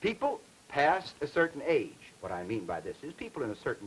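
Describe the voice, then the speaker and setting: A man talks at a moderate pace. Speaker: linguistics lecturer. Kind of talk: educational film lecture.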